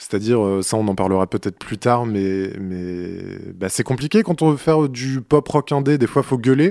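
Over a quiet background, a man with a dark, mellow tone speaks at a fairly slow pace with lively intonation. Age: 20s. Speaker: musician and podcaster. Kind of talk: personal audio diary monologue. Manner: halting.

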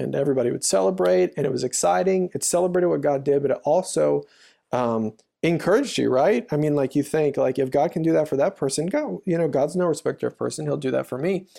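A man's dark, mellow tone, with lively intonation and a very fast pace. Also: fairly high pitch for a man. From US South, Louisiana. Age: 30s. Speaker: church storyteller. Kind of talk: interview. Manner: halting.

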